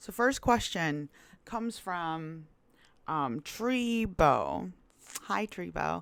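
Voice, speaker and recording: On a very clean recording with a silent background, a woman with a Korean accent speaks at a fairly slow pace in a relaxed tone, with a fairly low pitch and lively intonation. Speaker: YouTuber and plus-size model. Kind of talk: casual Q&A vlog. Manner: casual, relaxed.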